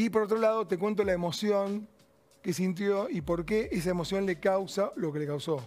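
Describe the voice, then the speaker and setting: The delivery moves at a moderate speed. Its pitch rises and falls in an ordinary way. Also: man, high pitch for a man. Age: 60s. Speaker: cardiologist and author. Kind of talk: interview.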